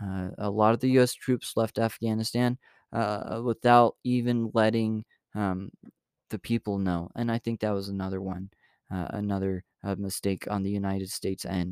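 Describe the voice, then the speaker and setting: At a moderate pace with fairly even intonation, the voice comes through a very clean, silent recording that sounds dry and close with no echo. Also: man, fairly low pitch for a man. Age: 20s. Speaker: podcast host. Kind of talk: casual news commentary. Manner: halting, many fillers and restarts.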